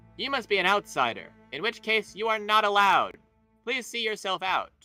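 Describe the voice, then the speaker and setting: Over faint music in the background, a man puts on a high-pitched character voice at a moderate pace. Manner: stern, dismissive.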